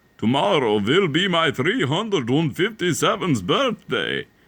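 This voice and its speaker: A man bellowing in a put-on character voice, fairly high in pitch, at a moderate pace. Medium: read story. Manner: bellowing, proud.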